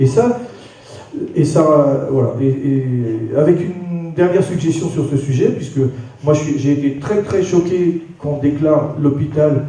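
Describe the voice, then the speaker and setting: A man with a fairly high pitch speaks at a fairly slow pace and in a fairly even tone, with audible room echo and noticeable background noise. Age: 60s. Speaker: audience member. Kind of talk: public debate. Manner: halting.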